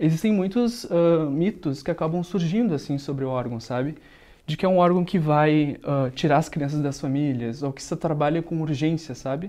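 This man has a fairly high pitch and a dark, mellow tone. He speaks at a moderate pace with ordinary pitch variation. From Rio Grande do Sul, Brazil (Montenegro); Rio Grande do Sul, Brazil. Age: 20s. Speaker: local election candidate, psychology student; election candidate. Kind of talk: candidate interview. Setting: studio. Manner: hesitant, frequent filler sounds. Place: studio. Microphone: lapel.

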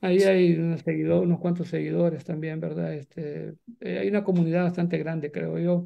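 A man speaks fairly quickly, the background quiet behind him. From El Salvador, eastern (Jocoro, Morazán); Morazán, El Salvador. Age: 60s. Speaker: writer and journalist, former guerrilla radio founder; journalist, former guerrilla radio founder. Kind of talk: interview. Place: home room. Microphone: video call.

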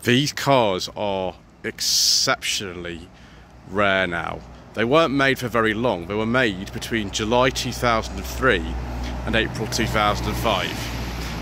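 A man talks at a very slow pace in a fairly low voice, his pitch swinging very widely. The sound is dry with no echo, and background noise is noticeable. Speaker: car reviewer. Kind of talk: car review commentary. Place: street. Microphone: phone near.

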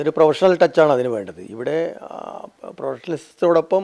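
Lively intonation in a dark, mellow tone. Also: man. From Kerala, Kannur district. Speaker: retired police officer, local election candidate. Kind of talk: interview.

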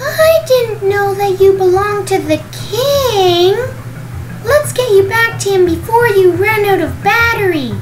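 Someone performs a put-on character voice at a fairly slow pace over loud background noise.

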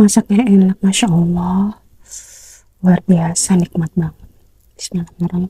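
The voice is soft-spoken and somewhat breathy, dark and mellow in tone, moving at a moderate pace with fairly even intonation in a dry sound with no echo. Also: woman. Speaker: mukbang creator. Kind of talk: casual talk to camera, mukbang eating video. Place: home room. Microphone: lapel.

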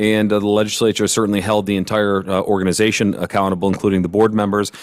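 A very clean recording of a man speaking, with a silent background. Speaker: economic development agency director. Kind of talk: public presentation. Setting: council meeting room. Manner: fast; animated.

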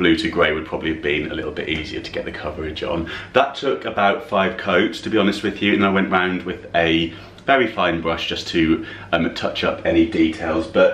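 Over light background noise and audible room echo, a man speaks fairly quickly in a very deep, low voice with ordinary pitch variation. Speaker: home decor vlogger. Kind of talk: casual vlog chat. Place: kitchen. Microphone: phone near.

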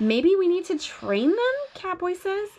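Fairly slow delivery with very wide swings in pitch. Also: woman. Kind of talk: bedtime story read-aloud. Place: home room. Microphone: phone near.

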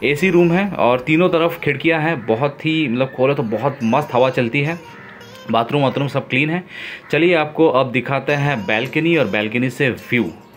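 A man at a fairly slow pace with ordinary pitch variation, faint music in the background. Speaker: travel vlogger. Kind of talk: casual vlog chat. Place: home room. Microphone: phone near.

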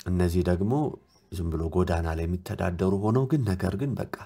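On a very clean recording with a silent background, a man speaks in a very deep, low pitch with a dark, mellow tone and ordinary pitch variation. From Ethiopia, Addis Ababa. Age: 30s. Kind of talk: testimony recounting a dream.

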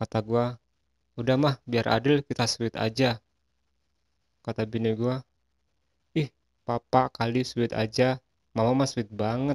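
A man's monotone, flat delivery at a fairly slow pace, broken by long, frequent pauses. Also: medium pitch for a man, dry, close sound with no echo. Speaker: stand-up comedian and logo designer. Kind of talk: stand-up comedy routine of setup-and-punchline jokes.

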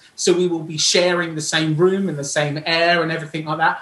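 Over audible room echo, a man talks at a fairly quick pace in a fairly bright tone, fairly high in pitch with little pitch movement.

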